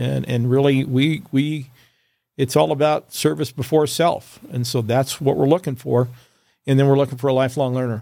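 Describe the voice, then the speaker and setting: In a very clean recording with a silent background, a man with an American accent uses an ordinary speaking voice at a medium pitch, a moderate pace, and ordinary pitch variation. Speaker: fire chief. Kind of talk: casual interview chat.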